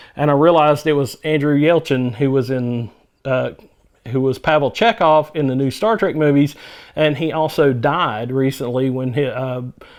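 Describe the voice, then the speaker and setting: A man with a Southern US accent talks at a fairly high pitch and moderate pace, with ordinary pitch variation. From US South. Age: 50s. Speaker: movie reviewer. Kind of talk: casual monologue review. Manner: halting, frequent fillers.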